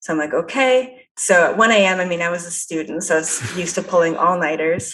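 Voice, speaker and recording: In an ordinary speaking voice, a woman with a Canadian accent talks at a fairly quick pace, her fairly low pitch showing ordinary variation. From Canada. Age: 20s. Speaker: psychic. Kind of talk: interview. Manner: casual, lots of fillers.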